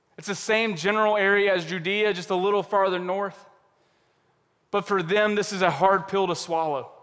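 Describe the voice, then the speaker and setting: In a room with audible echo, a man with a high pitch speaks at a moderate pace with fairly even intonation. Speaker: pastor. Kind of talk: sermon. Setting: church service.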